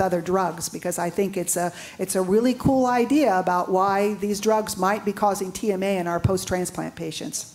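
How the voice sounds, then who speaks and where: With music in the background, a woman at medium pitch talks at a fairly quick pace with hardly any pauses. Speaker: physician panelist. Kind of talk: conference presentation. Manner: fast.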